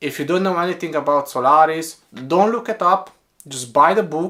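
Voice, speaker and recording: Bright and sharp in tone, a man with a Romanian accent talks at a moderate pace, his pitch fairly high with ordinary variation. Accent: Romanian accent, noticeable. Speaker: book reviewer. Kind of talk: casual book review monologue.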